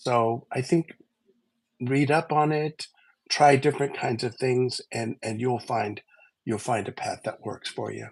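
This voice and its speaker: The speech moves at a fairly slow pace. The sound is dry and close, with no echo. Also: man, medium pitch for a man, ordinary pitch variation. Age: 60s. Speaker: livestream co-host. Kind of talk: casual chat. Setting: livestream. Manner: halting.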